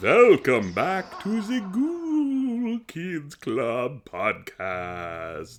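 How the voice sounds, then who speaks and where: A man's put-on character voice at a very slow pace, with hardly any pauses. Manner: theatrical, spooky.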